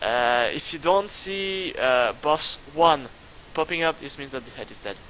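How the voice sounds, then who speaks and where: A man with ordinary pitch variation, amid noticeable background noise. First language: not English. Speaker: gaming youtuber. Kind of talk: gameplay commentary. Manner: halting.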